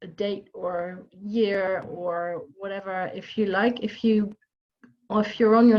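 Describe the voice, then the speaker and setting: The speaker has a Dutch accent and fairly even intonation. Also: woman. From Netherlands, near Amsterdam. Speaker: job coach. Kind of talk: online workshop. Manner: hesitant, many fillers.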